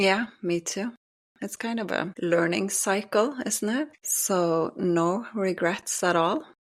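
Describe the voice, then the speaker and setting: Over a silent background in a very clean recording, a woman with a Norwegian accent speaks at a very slow pace. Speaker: podcast co-host. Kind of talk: casual chat.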